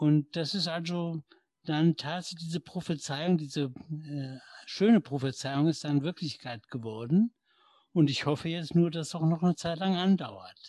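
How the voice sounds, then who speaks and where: This man's dark, mellow voice sits fairly high in pitch, with ordinary pitch variation at a fairly slow pace. The sound is dry and close, with no echo. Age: 60s. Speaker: retired corporate lawyer with Parkinson's. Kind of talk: interview conversation. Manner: hesitant with many fillers.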